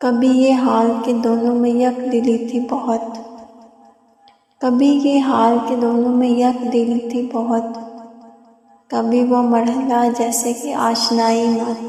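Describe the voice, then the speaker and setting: This woman's voice sits at a high pitch and holds a monotone, flat intonation. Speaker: poetry reciter. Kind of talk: poetry reading.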